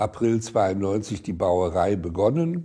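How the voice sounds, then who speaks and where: A man's fairly low, dark, mellow, somewhat breathy voice, fairly slow in pace and lively in intonation. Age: 80s+. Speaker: retired eye surgeon. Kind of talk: documentary interview, personal recollection. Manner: hesitant, with many fillers.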